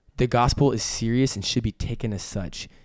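In a very clean recording with a silent background, a man with an American accent speaks at a medium pitch and a fairly quick pace in an animated tone. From Texas, Amarillo. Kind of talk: casual faith discussion. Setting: studio table with wife.

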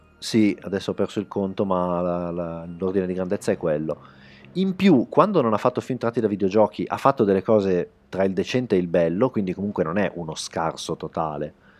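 A man's very deep, low voice at a fairly quick pace, with ordinary pitch variation and a quiet background. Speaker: film website writer. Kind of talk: casual chat. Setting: studio.

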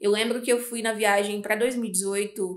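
With a plain, everyday voice, a woman speaks at a moderate pace and fairly high pitch with fairly even intonation, in a very clean recording with a silent background. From Brazil, Espírito Santo. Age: 20s. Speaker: entrepreneur. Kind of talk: casual chat.

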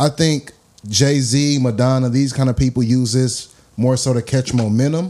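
A man with an American accent speaks at a fairly slow pace in a dark, mellow tone. His intonation stays fairly even and his loudness very even. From US West Coast, Los Angeles. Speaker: podcast host. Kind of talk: casual interview.

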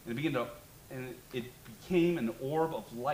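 The voice reads naturally, and its pitch rises and falls in an ordinary way.

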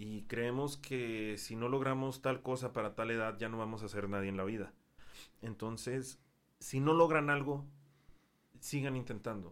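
A man's medium-pitched voice at a fairly slow pace, with ordinary pitch variation and long, frequent pauses. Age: 20s. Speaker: English teacher. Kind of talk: casual chat.

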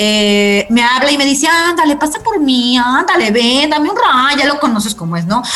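An animated voice with a Mexican accent moves through very wide pitch swings. Audible room echo and noticeable background noise surround it. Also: woman, high pitch for a woman, moderate pace, hardly any pauses. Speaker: radio host. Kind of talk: casual interview.

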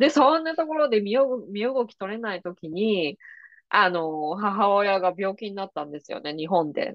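A woman speaks at a medium pitch. Her voice moves in very wide pitch swings. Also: moderate pace, big swings in loudness. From Japan, Kanagawa. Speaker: podcast host and psychic reader. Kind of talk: casual interview chat.

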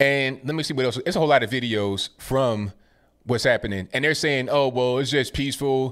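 The voice belongs to a man and sits at a medium pitch, moving up and down in an ordinary way. It is a plain, everyday voice. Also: fairly quick pace. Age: 30s. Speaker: live-stream commentary host. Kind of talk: live call-in stream commentary. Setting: live stream.

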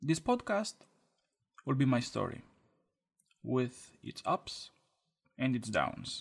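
With a Romanian accent, a man speaks very slowly. He takes long, frequent pauses. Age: 20s. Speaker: podcaster. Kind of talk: scripted monologue.

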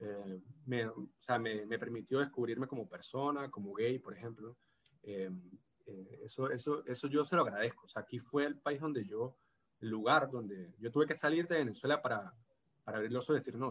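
With a medium pitch that varies in an ordinary way, a man talks at a fairly quick speed. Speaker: postdoctoral researcher. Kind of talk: casual interview. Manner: halting, many repetitions and fillers.

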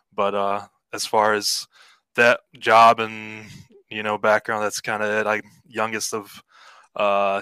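A man's fairly low voice, bright and sharp in tone, monotone and flat, at a very slow pace, with a dry, close sound with no echo and a very clean recording over a silent background. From Cleveland, Ohio, US Midwest. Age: 30s. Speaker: league member, interview guest. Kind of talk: casual interview.

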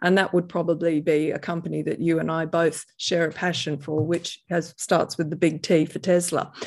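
A woman speaks at a moderate pace with a fairly low pitch, a monotone, flat intonation and hardly any pauses, in a very clean recording with a silent background. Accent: Australian. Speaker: private investor and author. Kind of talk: interview conversation.

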